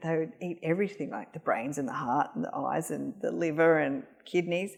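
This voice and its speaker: Speaking with an Australian accent, a woman uses a fairly low pitch, ordinary pitch variation and a moderate pace. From Australia, Northern Territory. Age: 50s. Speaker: cancer rehabilitation practitioner. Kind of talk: casual interview chat. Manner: hesitant, many fillers.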